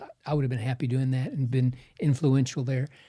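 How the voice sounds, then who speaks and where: A man speaks at a fairly quick pace in a dark, mellow tone that is somewhat breathy. The recording is very clean, with a silent background. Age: 70s. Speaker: surgeon and pastor. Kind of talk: podcast interview.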